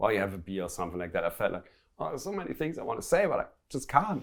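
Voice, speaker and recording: A man's voice is captured on a very clean recording with a silent background. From Germany. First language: German. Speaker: business owner. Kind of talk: interview.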